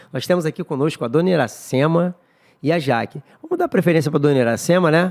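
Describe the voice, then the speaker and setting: A man's fairly high voice at a very fast pace, with ordinary pitch variation, a dry, close sound with no echo, and a very clean recording over silence. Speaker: church podcast host. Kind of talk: casual chat.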